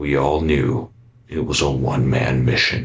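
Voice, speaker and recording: Raspy and very deep, a man's put-on character voice moves at a moderate pace. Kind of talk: analog horror voice-over. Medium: voice reel. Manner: grave, confessional monologue.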